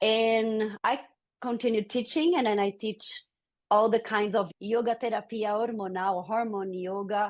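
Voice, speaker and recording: A woman with a Brazilian Portuguese accent, fairly slow and fairly even in intonation, over a quiet background. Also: fairly high pitch for a woman. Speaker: yoga teacher. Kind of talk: interview.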